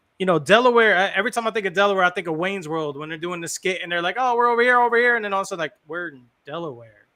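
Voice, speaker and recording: In an American accent, a bright, sharp voice is raised and projected at a very fast pace. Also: man, high pitch for a man, ordinary pitch variation, hardly any pauses. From New Jersey. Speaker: podcast host. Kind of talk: casual chat.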